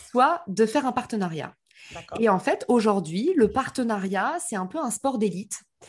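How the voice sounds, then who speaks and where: Against a quiet background, a woman speaks somewhat breathily at fairly high pitch and a fairly slow pace, with very wide pitch swings. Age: 30s. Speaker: marketing entrepreneur. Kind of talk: interview.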